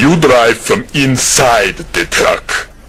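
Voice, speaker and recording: A man uses a put-on character voice at medium pitch, with clear background noise behind him. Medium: fan dub. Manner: curt, flat, deadpan.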